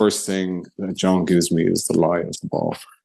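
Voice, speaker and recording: A man speaks in a very deep, low voice with an Irish accent. His tone is dark and mellow, and his pace is moderate. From Ireland, Kilkenny. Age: 60s. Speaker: blind golfer. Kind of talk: interview.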